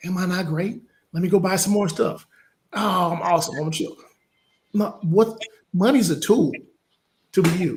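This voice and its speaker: With a Southern US accent, a man talks at a fairly quick pace in a high pitch with ordinary pitch variation. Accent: Southern US accent, from Louisiana father. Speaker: business coach. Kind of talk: interview conversation. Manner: animated.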